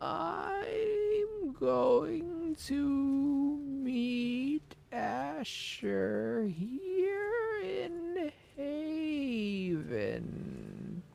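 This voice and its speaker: A put-on character voice, female-sounding and high-pitched, at a very slow pace. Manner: slow, drawn out.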